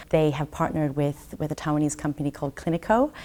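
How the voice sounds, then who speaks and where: A woman with an Australian accent. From Brisbane, Australia. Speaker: trade commissioner. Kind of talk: interview.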